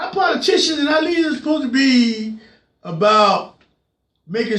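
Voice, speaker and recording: Someone is shouting, loud and with lively intonation, at a moderate pace. Audible room echo surrounds the voice. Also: man. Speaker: political commentary show host. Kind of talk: political rant. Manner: loud, yelling; repetitive, stammering restarts.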